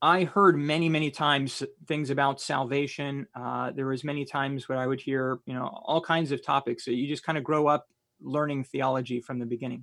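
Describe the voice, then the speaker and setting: This is a plain, everyday voice. The intonation is fairly even. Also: man. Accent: American. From US Midwest, mainly Iowa. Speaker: Baptist college teacher and radio station manager. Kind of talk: casual theological discussion. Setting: remote call from a radio station office.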